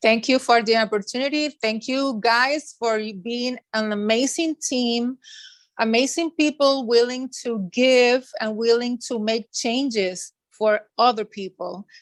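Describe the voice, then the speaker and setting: A woman with a high pitch speaks at a fairly slow pace with ordinary pitch variation, in a dry, close sound with no echo. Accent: Spanish. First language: Spanish. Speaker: school social worker. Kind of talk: interview. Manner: halting.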